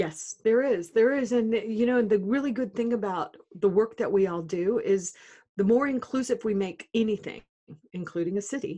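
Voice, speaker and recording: Fairly high-pitched woman's voice in an American accent, dark and mellow in tone, with ordinary pitch variation at a moderate pace. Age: 60s. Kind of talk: podcast interview. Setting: phone or video call.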